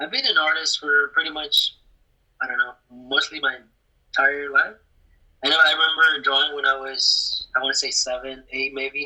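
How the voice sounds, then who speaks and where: With a Spanish accent, a man delivers his words at a moderate pace. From Mexico, Querétaro, moved to US at 12. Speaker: graphic designer. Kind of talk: casual interview.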